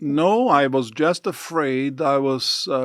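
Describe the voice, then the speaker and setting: A man speaks with a Portuguese accent and ordinary pitch variation. The recording is very clean, with a silent background. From southern Brazil. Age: 60s. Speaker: church mission leader. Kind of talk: interview.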